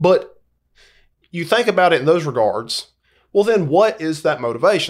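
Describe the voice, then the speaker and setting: At a moderate pace, a man with a Southern US accent talks in a high pitch with very wide pitch swings and long, frequent pauses. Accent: Southern American. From US South, Georgia. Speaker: school sports coach. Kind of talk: casual chat.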